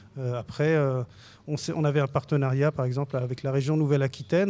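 On a very clean recording with a silent background, a man with a fairly high pitch speaks at a fairly quick pace, with fairly even intonation and an unremarkable speaking voice. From Lebanon. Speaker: film director. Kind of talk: radio interview.

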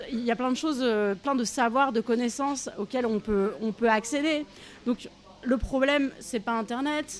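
Noticeable background noise accompanies a woman with a high pitch, who speaks at a moderate pace with ordinary pitch variation. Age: 40s. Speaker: activist. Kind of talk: interview. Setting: café. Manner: halting, many fillers.

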